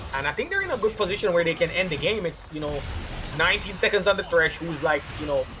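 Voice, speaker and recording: A man with a Jamaican accent talks at a very fast pace with ordinary pitch variation. Music plays in the background. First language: Jamaican Patois. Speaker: esports commentator. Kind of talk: live commentary.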